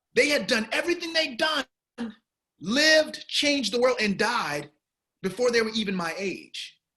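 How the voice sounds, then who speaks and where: With an American accent and an extremely high pitch, a man uses a raised, projected voice at a moderate pace, leaving long, frequent pauses. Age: 40s. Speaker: film director. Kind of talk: interview.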